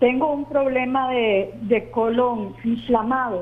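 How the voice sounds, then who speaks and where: Fairly even intonation from a woman pitched fairly high. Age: 60s. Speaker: caller. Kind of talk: phone-in question. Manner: halting.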